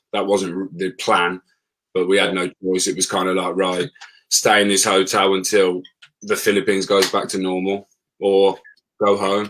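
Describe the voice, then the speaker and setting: Long, frequent pauses break up monotone, flat intonation delivered in a Birmingham accent. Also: man, very deep, low pitch for a man, moderate pace. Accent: Birmingham (Brummie) English. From Birmingham, England. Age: 30s. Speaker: former plumber and travel blogger. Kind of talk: casual interview chat.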